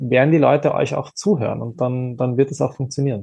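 A man at medium pitch speaks with vocal fry. His pace is moderate and his pitch varies in an ordinary way. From Austria. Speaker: influencer and advocacy communications head. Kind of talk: panel discussion.

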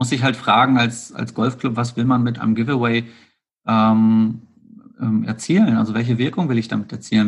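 This man talks at a moderate pace and medium pitch. His pitch varies in an ordinary way. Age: 40s. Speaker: golf accessories entrepreneur. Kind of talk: interview. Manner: hesitant, many filler sounds.

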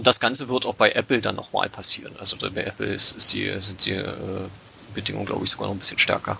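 Very fast speech over noticeable background noise. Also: man. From Brandenburg, Lausitz region. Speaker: hobby app developer. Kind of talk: casual podcast interview. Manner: halting, many fillers.

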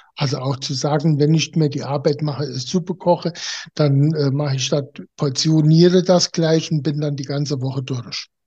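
A man's fairly high voice has a dark, mellow tone and a somewhat breathy quality. He keeps a moderate pace and fairly even intonation. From Germany. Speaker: naturopath. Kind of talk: interview. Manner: halting.

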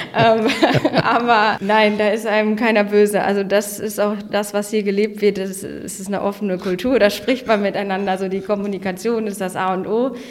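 A woman's medium-pitched, monotone, flat delivery at a moderate pace with hardly any pauses, over noticeable background noise. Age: 20s. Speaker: office park manager. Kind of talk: casual interview.

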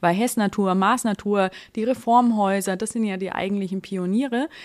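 Speaking at a fairly quick pace, a woman uses a plain, everyday voice at a medium pitch. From rural Germany. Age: 30s. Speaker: online marketplace managing director. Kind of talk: podcast interview.

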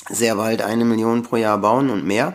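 Here a man speaks in an unremarkable speaking voice at a medium pitch. His pace is moderate. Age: 50s. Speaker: company founder and electrical engineer. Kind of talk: podcast interview.

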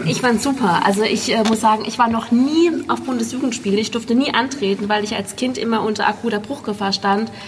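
Against noticeable background noise, a woman talks at a fairly quick pace with hardly any pauses, her fairly high pitch varying an ordinary amount. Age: 30s. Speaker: prosthesis wearer, runner. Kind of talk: casual chat.

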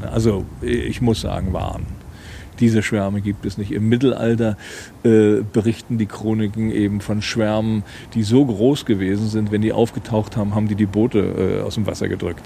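Flat and monotone, a man speaks with a fairly low pitch in a dark, mellow tone. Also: fairly quick pace. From Rügen, northeastern Germany. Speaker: author and former fisherman. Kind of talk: casual chat. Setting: outdoors.

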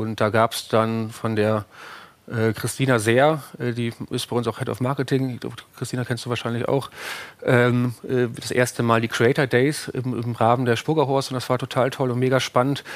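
The delivery is monotone and flat, held at a moderate pace. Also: man, medium pitch for a man. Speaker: startup co-founder. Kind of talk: interview. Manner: hesitant, many fillers.

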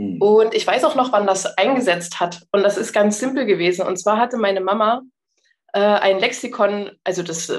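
The speech runs at a moderate pace with ordinary pitch variation. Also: woman. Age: 30s. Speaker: palliative care nurse. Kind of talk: casual chat. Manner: halting.

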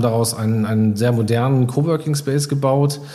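Amid noticeable background noise and audible room echo, a man of medium pitch speaks with fairly even intonation. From Iserlohn, Sauerland, Germany. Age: 30s. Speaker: coworking space founder. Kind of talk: interview.

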